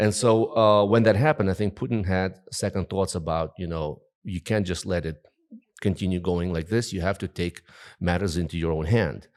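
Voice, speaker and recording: A man with a Russian accent and a very deep, low pitch speaks at a moderate pace with ordinary pitch variation, on a very clean recording with a silent background. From Russian-speaking part of Ukraine. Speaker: journalist and political commentator. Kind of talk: interview. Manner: hesitant with many fillers.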